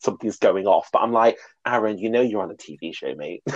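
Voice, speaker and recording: Someone with a British accent talks at a fairly quick pace in a dry, close sound with no echo. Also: man. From Britain. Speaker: podcast host discussing reality TV. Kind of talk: casual chat.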